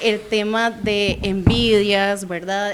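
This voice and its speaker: A woman with a Costa Rican accent speaks at a medium pitch and a very slow pace, over noticeable background noise. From Costa Rica, San José. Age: 20s. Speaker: guest giving testimony. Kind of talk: testimony. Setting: radio studio.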